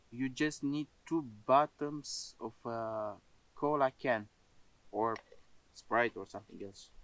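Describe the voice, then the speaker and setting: Using a non-native accent, a man speaks at a very slow pace with ordinary pitch variation. The sound is dry and close, with no echo. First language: not English. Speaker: outdoor cooking vlogger. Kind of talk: casual outdoor vlog talk. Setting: outdoors in a forest. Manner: halting, many filler sounds.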